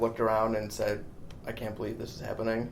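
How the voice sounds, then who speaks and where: A man talks through audible room echo while noticeable background noise carries on around him. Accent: American. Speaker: entertainment journalist. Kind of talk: interview.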